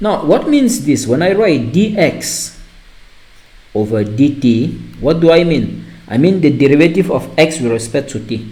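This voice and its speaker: Audible room echo surrounds a speaker with a non-native accent who talks at a moderate pace with lively intonation. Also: man. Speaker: math teacher. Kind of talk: lecture. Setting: online class recording. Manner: halting.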